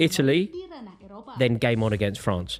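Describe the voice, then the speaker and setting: A man speaks at a moderate pace, his pitch swinging very widely. Noticeable background noise is present. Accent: English. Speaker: football watchalong host. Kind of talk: live match watchalong chat. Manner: halting, repeats words.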